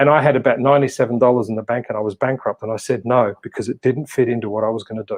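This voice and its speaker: A man speaks at medium pitch with an Australian accent. He talks very fast, with hardly any pauses. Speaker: motivational speaker and coach. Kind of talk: casual interview chat. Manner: animated.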